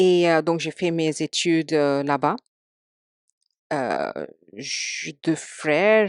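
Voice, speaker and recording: A woman with an Indian accent, very deep and low in pitch, at a very slow pace, recorded dry and close with no echo against a quiet background. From India, Mumbai. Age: 40s. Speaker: podcast guest. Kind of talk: casual interview chat. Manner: halting, many hesitations.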